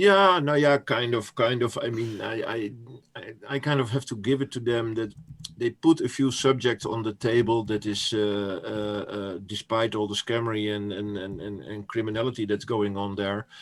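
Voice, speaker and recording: In a Dutch accent, a man speaks at a moderate pace with a medium pitch and ordinary pitch variation. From Netherlands. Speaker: crypto commentator. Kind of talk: interview. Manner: halting.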